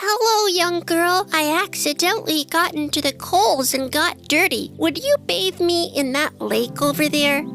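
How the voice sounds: Putting on a character voice with vocal fry, a woman speaks at an extremely high pitch and a fairly slow pace, with ordinary pitch variation, a fairly bright tone, long and frequent pauses, and faint music in the background.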